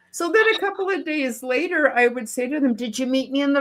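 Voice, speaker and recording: A woman with a high pitch talks at a moderate pace with lively intonation. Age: old. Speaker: spiritual healer or mystic, grandmother. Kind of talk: panel discussion, personal storytelling. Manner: halting.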